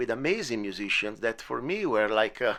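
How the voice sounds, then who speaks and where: On a very clean recording with a silent background, a man with an Italian accent speaks at a fairly quick pace with lively intonation. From Italy. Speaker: podcast host and musician. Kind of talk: casual interview. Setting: home studio in bedroom. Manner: halting, many fillers.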